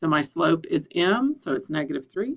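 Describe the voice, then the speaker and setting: A woman with a normal speaking voice talks at a fairly low pitch with lively intonation. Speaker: math instructor. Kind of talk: tutorial.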